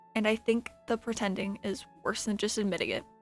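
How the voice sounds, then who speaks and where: Music plays in the background as a woman speaks. Her pitch is fairly high and her pace fairly quick. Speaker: ASMR roleplay creator. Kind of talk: ASMR comfort roleplay. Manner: soft-spoken, reassuring.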